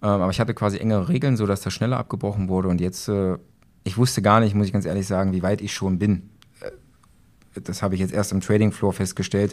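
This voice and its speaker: A man's fairly low voice at a very fast pace, with fairly even intonation. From Saxony-Anhalt, Germany (Magdeburg). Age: 30s. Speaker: police officer and trading student. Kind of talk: interview. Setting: live at a trading event venue.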